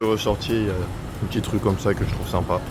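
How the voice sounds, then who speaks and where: At a moderate pace, a man talks in a relaxed tone at a fairly low pitch with ordinary pitch variation. Noticeable background noise and audible room echo surround him. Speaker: travel vlogger. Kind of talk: vlog narration. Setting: outdoors walking in city. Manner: casual, relaxed.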